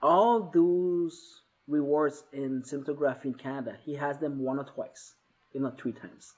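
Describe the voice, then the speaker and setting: Fairly high pitch from a man, at a moderate pace with ordinary pitch variation. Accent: Quebec. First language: French. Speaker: author and entrepreneur. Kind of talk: live show interview. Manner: halting, with frequent repetitions.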